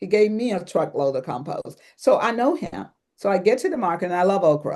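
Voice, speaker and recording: A woman with an American accent has a dark, mellow tone and very wide pitch swings, speaking at a moderate pace. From US, grew up on a farm. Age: 70s. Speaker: herbalist and biodynamic gardener. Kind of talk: interview.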